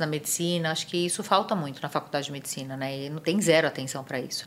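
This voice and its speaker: This woman has a plain, everyday voice with a fairly low pitch. Her intonation stays fairly even. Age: 50s. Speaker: physician. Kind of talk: interview.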